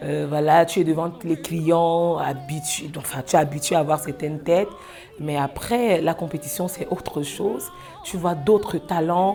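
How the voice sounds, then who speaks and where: Music plays in the background as a woman with a fairly low pitch speaks with ordinary pitch variation. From Cameroon. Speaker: singer. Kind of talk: interview. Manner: hesitant, many fillers.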